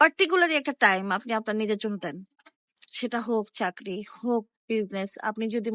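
A woman with a normal speaking voice, in a dry, close sound with no echo. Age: 20s. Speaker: vlogger. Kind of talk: motivational monologue.

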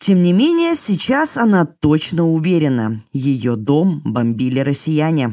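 The speech moves at a very slow pace with hardly any pauses. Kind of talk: news narration.

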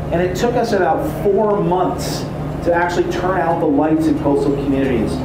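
Noticeable background noise and audible room echo surround a man talking at a moderate pace. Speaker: tour guide. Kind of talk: guided history tour narration. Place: boat.

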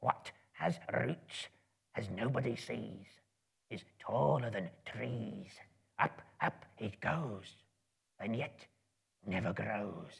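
In a put-on character voice, a man whispers and hisses at a very slow pace, leaving long, frequent pauses. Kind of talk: dramatic reading to live audience. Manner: creepy, wheedling, talks to himself; hungry, menacing.

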